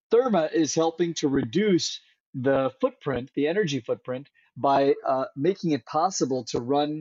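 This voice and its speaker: This voice has an American accent. It is a plain, everyday voice. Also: man. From Central California. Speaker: climate tech company founder. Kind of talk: interview.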